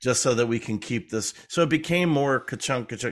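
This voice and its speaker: On a very clean recording with a silent background, a man with a medium pitch talks at a fairly quick pace in an ordinary speaking voice, with ordinary pitch variation. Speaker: documentary editor and filmmaker. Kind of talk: casual interview chat.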